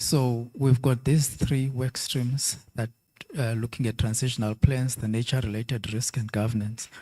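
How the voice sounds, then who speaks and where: Somewhat breathy and dark, mellow in tone, a man speaks at a moderate pace and medium pitch with fairly even intonation. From South Africa. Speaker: conference speaker, financial regulator. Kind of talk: conference Q&A answer.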